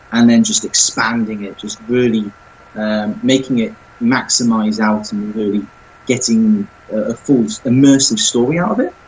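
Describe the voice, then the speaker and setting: Speaking with a southern English accent, a man keeps a moderate pace, a medium pitch and ordinary pitch variation. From England, not the north. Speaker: self-published author. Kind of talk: podcast interview.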